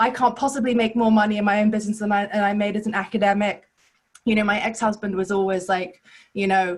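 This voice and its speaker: Somewhat breathy and medium in pitch, a woman speaks at a very fast pace. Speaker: business coach, former academic. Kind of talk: testimony. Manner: animated.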